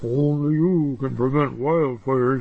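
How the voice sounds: A man puts on a character voice at a medium pitch, speaking at a moderate pace over light background noise.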